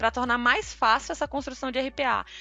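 Her fairly high voice carries vocal fry as this woman speaks. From Tocantins, northern Brazil. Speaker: RPA developer. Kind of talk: casual interview.

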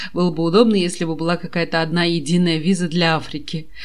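A woman with an ordinary speaking voice talks at a fairly quick pace. Her pitch is fairly low. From Kazakhstan. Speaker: podcast host. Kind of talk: casual chat.

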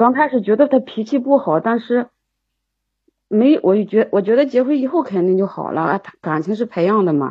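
The delivery is somewhat breathy, with lively intonation at a moderate pace. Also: woman, fairly high pitch for a woman. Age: 40s. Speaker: caller seeking relationship advice. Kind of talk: call-in advice conversation. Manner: halting, repeats words.

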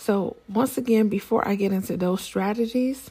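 At a fairly slow pace, a woman speaks in a somewhat breathy, dark, mellow tone with ordinary pitch variation. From Nigeria. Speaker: podcast host, public health advisor. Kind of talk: solo podcast monologue. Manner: casual with frequent fillers.

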